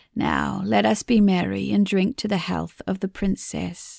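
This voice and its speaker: A woman uses a put-on character voice that is raspy and fairly low-pitched, speaking at a moderate pace in a dry, close sound with no echo and a very clean recording against a silent background. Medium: read story. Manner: tender, mournful.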